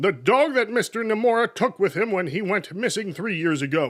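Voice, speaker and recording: A man is speaking. His pace is moderate. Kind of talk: comic review narration. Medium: solo performance. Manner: sarcastic, jokey.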